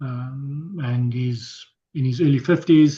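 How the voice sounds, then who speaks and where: A man speaks with a fairly high pitch, a somewhat breathy quality, a dark, mellow tone and fairly even intonation. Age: 60s. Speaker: health coach workshop presenter. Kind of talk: workshop presentation. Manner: halting, repetitive.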